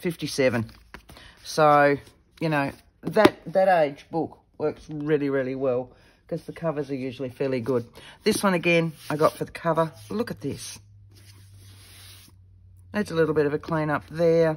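Pausing long and often, a woman talks in a very deep, low voice with ordinary pitch variation. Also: moderate pace. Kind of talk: casual vlog chat. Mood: pleased, enthusiastic.

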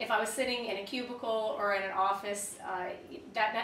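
A woman's fairly high voice at a fairly quick pace, with light background noise and audible room echo. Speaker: freelance writer. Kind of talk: interview. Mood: friendly, relaxed, upbeat. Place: home room.

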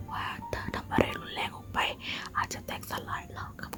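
A whisper comes through amid clearly audible background noise. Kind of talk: ASMR whispered novel reading. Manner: whispered.

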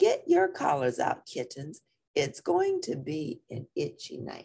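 A woman does a put-on character voice, low in pitch with vocal fry and a slightly husky edge. Her tone is dark and mellow, her pace slow, and her pitch swings very wide.

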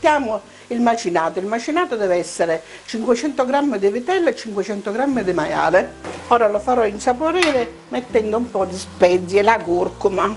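Music runs behind the speaker. She is a woman whose intonation is lively. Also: moderate pace. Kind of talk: cooking tutorial. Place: kitchen. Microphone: lapel.

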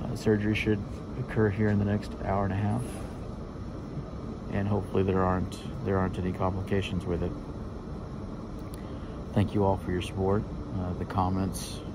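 In a dry sound with no echo but with noticeable background noise, a man speaks at a fairly quick pace. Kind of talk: casual vlog chat. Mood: anxious, emotional, hopeful. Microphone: phone near.

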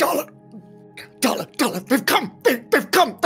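Over clear music in the background, a man with an extremely high pitch talks at a moderate pace. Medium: actual play.

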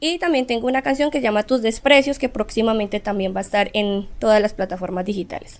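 Her voice sits fairly high, and its pitch moves by an ordinary amount. This woman talks fairly quickly. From Colombia, Pereira (Risaralda); Risaralda, Colombia. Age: 20s. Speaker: singer; guest. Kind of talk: interview. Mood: friendly, animated. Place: studio.

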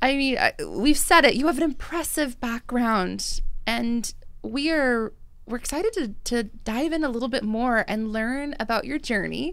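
Her pitch sits high for a woman. She talks at a fairly slow pace. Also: ordinary pitch variation. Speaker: podcast host, drinks industry director. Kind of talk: casual chat. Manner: animated. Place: studio. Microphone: studio mic.

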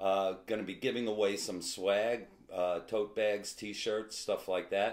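This man talks at a fairly slow pace. His pitch is fairly low. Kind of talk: casual announcement to fans. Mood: upbeat, friendly. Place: kitchen. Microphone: camera far.

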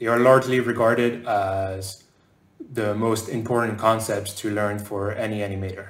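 In a room with audible echo, a man speaks at a moderate pace with a fairly low pitch and monotone, flat intonation. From France, raised partly in southern North America. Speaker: game animator. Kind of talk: conference talk. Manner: hesitant fillers. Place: home room.

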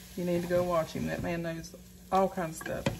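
Noticeable background noise behind a woman speaking at a moderate pace. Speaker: home cooking vlogger. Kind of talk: casual vlog chat. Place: kitchen. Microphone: phone near.

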